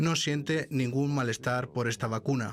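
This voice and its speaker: Pitched fairly high for a man, an unremarkable speaking voice moves through ordinary pitch variation. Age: 60s. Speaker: vaccine scientist. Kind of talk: interview. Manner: formal.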